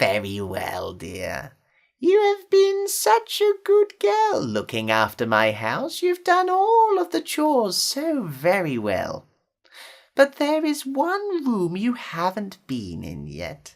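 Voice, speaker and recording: A put-on character voice at a fairly slow pace. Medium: read story. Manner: sugary, coaxing.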